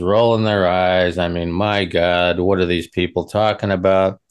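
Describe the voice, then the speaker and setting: Against a quiet background, a man speaks at a very deep, low pitch. He has an American accent and a moderate pace. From Western Nebraska. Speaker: co-host, regular chat partner. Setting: video call.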